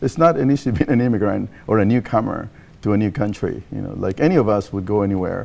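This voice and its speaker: A man talks at a very fast clip in a fairly low voice. His tone is dark and mellow. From Mexico. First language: Spanish. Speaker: nonprofit leader. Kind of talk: TV interview. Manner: halting, many fillers.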